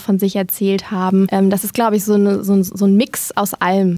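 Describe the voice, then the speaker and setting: A woman speaks at a fairly quick pace. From Germany, Lower Rhine (Dinslaken). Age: 20s. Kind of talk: interview.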